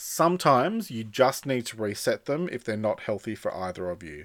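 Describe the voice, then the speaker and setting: The voice has an Australian accent and a moderate pace. Its pitch swings very widely in a very clean recording with a silent background. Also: man. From Australia, western Sydney. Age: 40s. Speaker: podcast host, author and speaker. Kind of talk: solo podcast monologue. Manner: casual, conversational.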